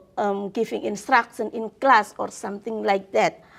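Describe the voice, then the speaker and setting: A woman speaks with an Indonesian accent. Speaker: law professor. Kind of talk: interview. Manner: hesitant, many fillers.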